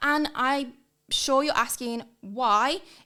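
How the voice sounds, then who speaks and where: In an English accent, a woman speaks with an enthusiastic tone. Her voice is bright and sharp. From northern England, near Liverpool. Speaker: hiring and leadership consultant. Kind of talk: podcast monologue.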